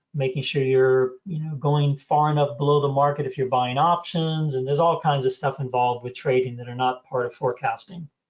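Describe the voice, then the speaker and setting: The speaker is somewhat breathy, moving at a fairly quick pace with hardly any pauses. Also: man, fairly high pitch for a man, fairly even intonation. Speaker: trading course instructor. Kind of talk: online class Q&A. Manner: fast.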